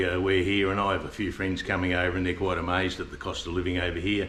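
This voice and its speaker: In an Australian accent, a bright, sharp voice rattles along at a very fast pace with monotone, flat intonation and audible room echo. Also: man. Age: 70s. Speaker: expat retiree. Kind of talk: casual interview. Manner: halting, many fillers.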